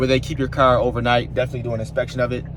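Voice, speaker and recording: Noticeable background noise is audible. Over it, a man speaks. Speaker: car vlogger. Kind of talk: casual vlog. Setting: in a car; car dealership. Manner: casual, filler-heavy; whispering.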